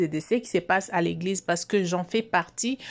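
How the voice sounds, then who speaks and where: A woman talks at a medium pitch with ordinary pitch variation, recorded very cleanly against a silent background. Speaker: YouTube commentator. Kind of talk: video commentary. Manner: slow; soft-spoken.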